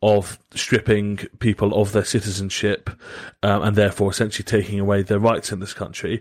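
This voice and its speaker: In a very clean recording with a silent background, a man speaks with a Southern English accent. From southern England. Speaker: podcast host. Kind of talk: casual chat.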